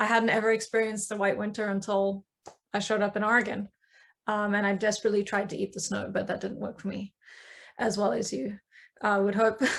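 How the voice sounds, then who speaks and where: A woman speaks very fast at a medium pitch in a flat monotone with vocal fry. Her speech is broken by long, frequent pauses. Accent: South African. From South Africa. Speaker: coven member, witch. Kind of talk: panel discussion.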